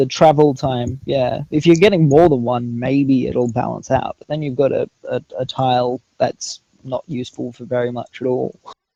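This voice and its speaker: A man's dark, mellow voice sounds dry and close with no echo, with fairly even intonation and big swings in loudness. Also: medium pitch for a man, moderate pace. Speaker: tournament commentator. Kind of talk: live game tournament commentary.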